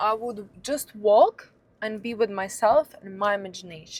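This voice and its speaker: Fairly slow pace with ordinary pitch variation. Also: woman. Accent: Russian. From Russia, near Saint Petersburg. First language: Russian. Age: 30s. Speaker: lifestyle vlogger. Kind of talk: casual monologue. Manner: halting.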